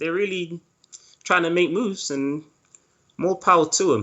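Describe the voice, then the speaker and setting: In a London accent, a man speaks at a moderate pace. His pitch is high, with ordinary variation. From East London, England. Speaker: animator. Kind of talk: interview.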